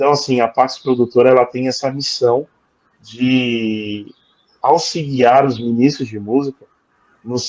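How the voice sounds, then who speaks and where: Very slowly, a man talks at a medium pitch. His intonation stays fairly even. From Brazil, São Paulo. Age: 40s. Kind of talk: interview testimony. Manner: halting, many fillers.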